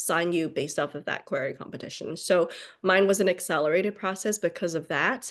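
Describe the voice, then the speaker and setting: A woman, heard over a quiet background, uses ordinary pitch variation. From China, Beijing. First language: Chinese. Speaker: novelist. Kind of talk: interview. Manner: hesitant, many 'um' fillers.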